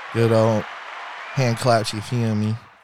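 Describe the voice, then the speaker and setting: Crowd noise fills the background. A man speaks over it at a medium pitch. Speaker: podcast host. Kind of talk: casual chat.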